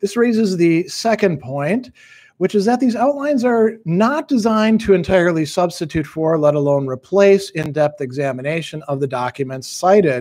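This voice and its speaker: A man at a moderate pace, with very wide pitch swings, over a quiet background. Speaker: philosophy teacher. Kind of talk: reading aloud from own book. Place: home room.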